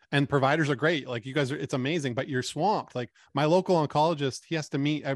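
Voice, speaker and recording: Against a quiet background, a man with a fairly high pitch speaks at a very fast pace with hardly any pauses. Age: 40s. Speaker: cancer support community founder. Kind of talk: interview.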